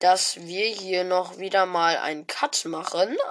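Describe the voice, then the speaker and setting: A woman at a medium pitch, speaking at a fairly slow pace. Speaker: gaming podcast host. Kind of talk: casual commentary reading out app reviews. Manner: animated.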